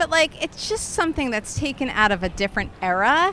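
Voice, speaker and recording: A woman talks at a moderate pace. It is an ordinary speaking voice. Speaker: podcast host. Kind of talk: casual chat. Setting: outdoors.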